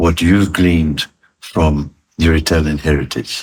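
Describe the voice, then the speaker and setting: Somewhat breathy speech holds to fairly even intonation. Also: man. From Italy, raised in South Africa. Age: 80s+. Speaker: retired chartered accountant and business executive. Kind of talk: interview answer.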